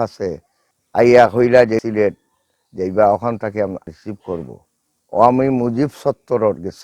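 With a Sylheti accent, a man speaks at a medium pitch in a dark, mellow tone. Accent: Sylheti Bengali. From Sylhet, Bangladesh. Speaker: war veteran. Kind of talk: testimony.

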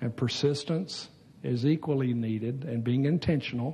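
Somewhat breathy, a man's voice has a dark, mellow tone and ordinary pitch variation. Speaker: preacher. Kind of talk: sermon. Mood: jovial, laughing often. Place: church. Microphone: headset.

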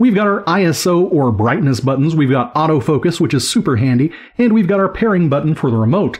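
A very fast pace over a quiet background. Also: man. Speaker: teacher tech reviewer. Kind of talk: product review commentary. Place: home room. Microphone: studio mic.

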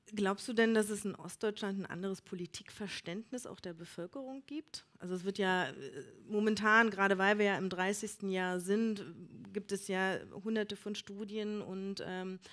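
Using an unremarkable speaking voice, a woman talks at a moderate pace and medium pitch with fairly even intonation. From Elbe-Elster, Brandenburg. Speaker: event moderator. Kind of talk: live event moderation.

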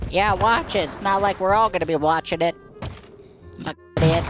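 A nasal, put-on character voice sits at a middle pitch. It moves at a moderate pace with clear music in the background. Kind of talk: gaming voice chat. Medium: role play. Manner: insulting, crude.

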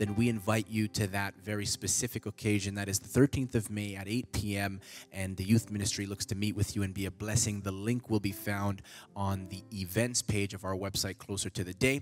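Faint music sits behind a man speaking at a fairly quick pace. His pitch is fairly low and his intonation monotone and flat. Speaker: church announcer. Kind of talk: church announcements. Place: church. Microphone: handheld.

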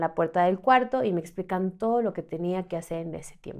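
In a quiet background, a woman speaks at a fairly quick pace with ordinary pitch variation. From Mexico City. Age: 30s. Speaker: trafficking survivor; podcast guest. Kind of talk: testimony. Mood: serious, recounting trauma. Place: studio. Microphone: studio mic.

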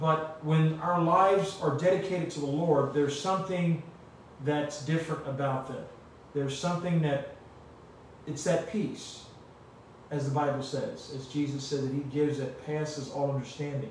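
A man speaks at a moderate pace with fairly even intonation, in strong room echo over light background noise. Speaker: pastor. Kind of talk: sermon. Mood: calm, earnest. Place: home room.

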